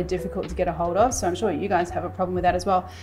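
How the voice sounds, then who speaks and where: Music plays in the background while a woman talks. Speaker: cooking show host. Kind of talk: tutorial. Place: kitchen.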